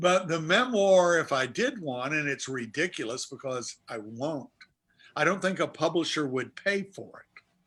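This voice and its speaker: A man's fairly high voice with an American accent, a plain, everyday voice, lively in intonation at a moderate pace. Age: 60s. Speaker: author and sportswriter. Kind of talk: interview on a video chat show. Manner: reflective.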